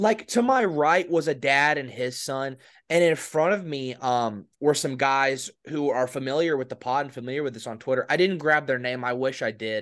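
A man with an ordinary speaking voice talks at a moderate pace over a quiet background, his fairly high pitch varying in an ordinary way. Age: 20s. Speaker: podcast co-host. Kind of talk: casual sports chat.

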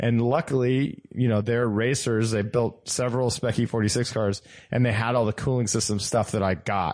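A man's ordinary speaking voice at medium pitch, with fairly even intonation, a moderate pace and a quiet background. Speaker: car podcast co-host. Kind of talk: casual chat.

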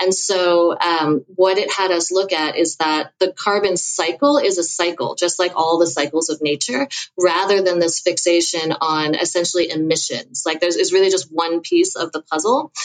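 Noticeable background noise behind a woman's fairly low voice, moderate pace, hardly any pauses and ordinary pitch variation. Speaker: author and sustainability researcher. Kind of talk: podcast interview.

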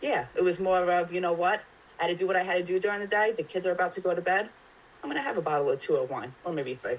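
A woman's fairly low voice, very fast, with ordinary pitch variation. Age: 30s. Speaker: mental health advocate. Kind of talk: casual chat.

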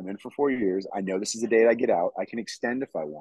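A man's voice at a moderate pace, with a dry, close sound and no echo. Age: 30s. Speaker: military veteran, former football player, filmmaker. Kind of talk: casual interview.

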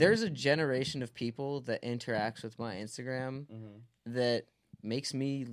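A man talks at a moderate pace and medium pitch with ordinary pitch variation. He has a plain, everyday voice. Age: 30s. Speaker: musician, singer. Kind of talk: casual interview chat. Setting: studio.

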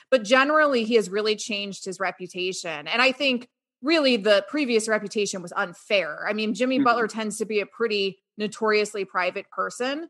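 A woman with an unremarkable speaking voice talks fairly quickly with hardly any pauses, at a fairly high pitch. Her pitch varies in an ordinary way over a quiet background. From Florida, Sarasota. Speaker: sports radio host and card market analyst. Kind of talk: casual interview.

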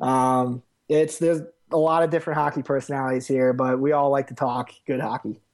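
A man with an American accent talks at a fairly quick pace in a fairly high pitch with monotone, flat intonation. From Westchester, New York. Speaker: hockey fan. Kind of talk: casual chat.

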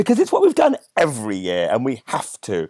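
Recorded with a dry, close sound and no echo, a man with a West Midlands accent speaks at a moderate pace. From West Midlands, England (near Birmingham). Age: 30s. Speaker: comedian. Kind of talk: casual chat. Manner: animated.

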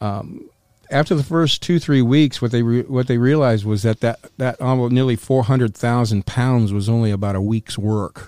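An ordinary speaking voice with an American accent, at a moderate pace with ordinary pitch variation, in a dry, close sound with no echo. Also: man, medium pitch for a man. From North Carolina. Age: 60s. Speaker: former smuggler. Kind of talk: interview storytelling. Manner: casual, profane.

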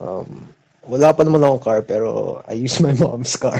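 Here is a man with a plain, everyday voice. He speaks at a fairly slow pace in a medium pitch with ordinary pitch variation. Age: 20s. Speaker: caller, college student. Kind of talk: call-in conversation. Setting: phone call.

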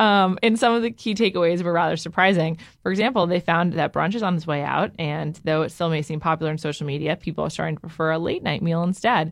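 A woman with an American accent races along at a very fast pace with hardly any pauses, her fairly low pitch showing ordinary pitch variation. The recording is very clean, with a silent background. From Upper West Side, New York City. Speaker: food news co-host. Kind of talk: casual chat.

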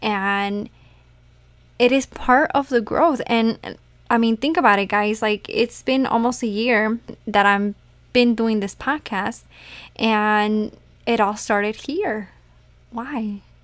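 A woman's fairly high voice, very slow with long, frequent pauses and ordinary pitch variation, on a very clean recording with a silent background. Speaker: spirituality podcast host. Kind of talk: casual monologue. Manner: conversational, filler-heavy.

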